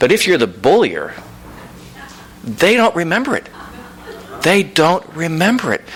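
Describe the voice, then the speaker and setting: The voice moves through very wide pitch swings at a fairly slow pace, with noticeable background noise. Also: man, high pitch for a man. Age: 60s. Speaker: author. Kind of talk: audience Q&A at book reading. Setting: bookstore event with audience.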